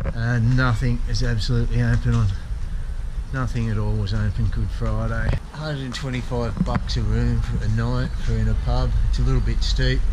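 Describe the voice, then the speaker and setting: Over noticeable background noise, a man's speech moves at a moderate pace. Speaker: travel vlogger. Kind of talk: casual vlog chat. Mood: relaxed, chatty. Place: street. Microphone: phone near.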